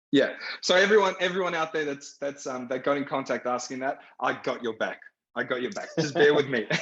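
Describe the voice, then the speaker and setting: A man with an Australian accent talks at a fairly quick pace, his fairly high pitch showing ordinary pitch variation. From Iraq (Baghdad), raised in Australia. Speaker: film director. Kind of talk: panel discussion.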